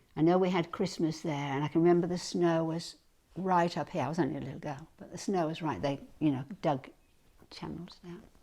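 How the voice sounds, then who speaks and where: Speaking at a fairly quick pace with a northern English accent, the voice has a dark, mellow tone and big swings in loudness on a very clean recording with a silent background. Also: woman, fairly low pitch for a woman, ordinary pitch variation. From England (Hull, East Yorkshire). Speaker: retired ballet dancer. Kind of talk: life story interview.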